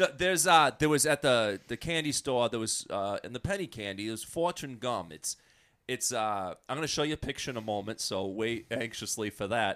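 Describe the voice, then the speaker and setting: A man's normal speaking voice at medium pitch, fairly quick and lively in intonation, on a very clean recording with a silent background. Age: 30s. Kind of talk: casual chat.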